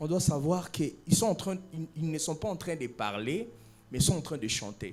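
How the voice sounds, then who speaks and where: A plain, everyday voice speaks at a moderate pace with lively intonation. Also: man. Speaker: talent show judge. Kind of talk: judge's critique.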